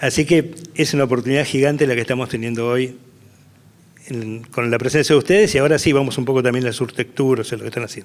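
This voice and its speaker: With noticeable background noise, a man talks at a very fast pace with fairly even intonation. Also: medium pitch for a man. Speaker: event host. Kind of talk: panel moderation.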